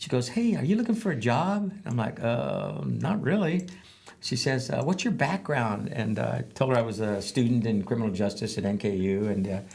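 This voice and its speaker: His voice sits at a medium pitch and carries vocal fry. The man's pitch swings very widely. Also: moderate pace. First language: Spanish. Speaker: veteran advocate and former probation officer. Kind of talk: interview storytelling. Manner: halting, many fillers.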